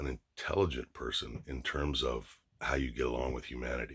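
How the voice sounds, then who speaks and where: A man with an American accent and vocal fry, at a moderate pace, in a very clean recording with a silent background. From Los Angeles area, California. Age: 50s. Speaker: YouTuber. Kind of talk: casual monologue vlog. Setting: at home, dressing room. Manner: animated, profane; frequent fillers and restarts.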